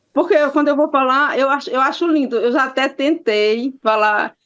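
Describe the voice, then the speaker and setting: The speaker's intonation is lively and the pace moderate. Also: woman. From Maranhão, Brazilian Northeast (Imperatriz). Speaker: victim's aunt, interviewee. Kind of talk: interview. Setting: video call. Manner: animated.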